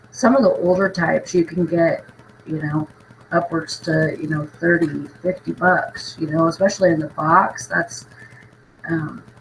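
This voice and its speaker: Noticeable background noise runs under a woman's fairly low voice. She talks at a fairly slow pace with ordinary pitch variation. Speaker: thrift reseller vlogger. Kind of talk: casual haul video talk.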